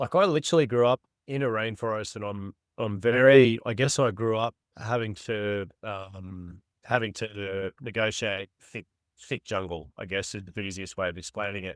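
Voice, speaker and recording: A fairly low-pitched man in an Australian accent, with big swings in loudness and a dry, close sound with no echo. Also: ordinary pitch variation, moderate pace, very clean recording, silent background. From Australia, far north Queensland. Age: 40s. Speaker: bowhunter. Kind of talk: casual chat. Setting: podcast. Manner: halting.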